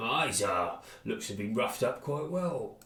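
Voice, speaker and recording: A man's gruff, fairly high put-on character voice at a moderate pace, with slight echo. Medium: game stream. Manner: gruff, colloquial.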